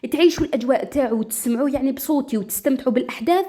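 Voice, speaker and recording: Delivered at a very fast pace with lively intonation, the voice carries an Algerian accent. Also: woman. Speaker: storyteller. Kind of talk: casual talk to listeners.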